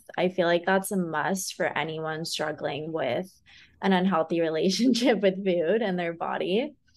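A woman speaks in an American accent. Her pitch varies in an ordinary way. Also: quiet background. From California. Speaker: wellness coach and podcast host. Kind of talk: casual interview chat. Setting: remote recording.

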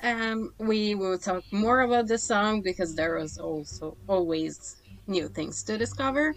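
The speaker is a woman with an Italian accent. She talks fairly slowly. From Italy. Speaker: podcast co-host. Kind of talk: casual chat. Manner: halting.

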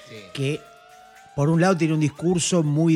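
Noticeable background noise runs under the audio. A man talks at a fairly quick pace. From Argentina, Mar del Plata. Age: 40s. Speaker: cartoonist. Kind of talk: casual chat. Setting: home studio.

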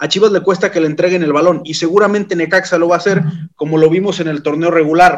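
The intonation is monotone and flat. The pace is very fast. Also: man, high pitch for a man. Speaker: podcast host. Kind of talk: casual podcast chat. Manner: halting, repeats words.

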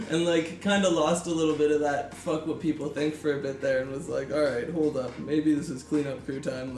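A man speaks at a fairly quick pace with hardly any pauses, in a fairly high pitch and fairly even intonation. Noticeable background noise runs under the recording. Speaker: young rapper. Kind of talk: casual chat.

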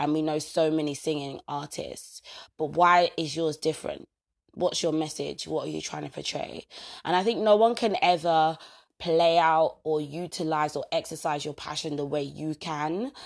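Against a silent background in a very clean recording, a woman with a very deep, low pitch talks at a moderate pace in an energetic, animated tone. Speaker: personal growth podcaster. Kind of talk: motivational solo talk.

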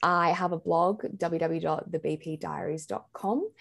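Heard in a very clean recording with a silent background, a woman talks with an Australian accent. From Australia, Sydney. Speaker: blogger and mental health advocate. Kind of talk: personal testimony in interview.

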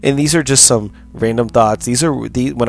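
Speaking with an American accent, a man uses ordinary pitch variation over noticeable background noise. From United States. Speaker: podcast host. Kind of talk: solo monologue podcast.

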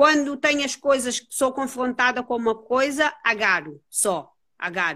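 Bright and sharp in tone, a woman's high-pitched voice carries lively intonation. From Cape Verde. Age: 30s. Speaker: jiu-jitsu and beach wrestling athlete. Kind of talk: casual interview.

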